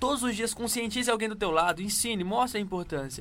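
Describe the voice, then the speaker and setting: A man talks at a very fast pace in a northeastern Brazilian accent. His pitch is high and his intonation lively. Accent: northeastern Brazilian accent, regained. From Northeast Brazil (Pernambuco, Paraíba). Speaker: radio show co-host. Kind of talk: casual chat.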